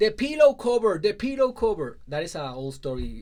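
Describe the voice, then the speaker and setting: Speaking at a fairly quick pace, a man uses a Spanish accent. His pitch swings very widely. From Puerto Rico, rural southwest. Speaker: life coach. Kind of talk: personal story talk.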